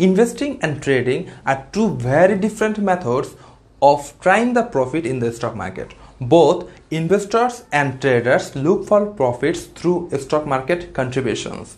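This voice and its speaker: A man speaks with a non-native accent. His pace is fairly slow. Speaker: finance channel creator. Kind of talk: scripted tutorial. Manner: formal.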